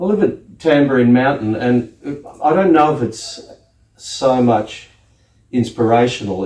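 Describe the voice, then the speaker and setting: A man with an Australian accent, medium-pitched, at a fairly slow pace with ordinary pitch variation. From Australia, outback Queensland. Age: 60s. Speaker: scenic artist. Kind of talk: interview. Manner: casual, hesitant with fillers.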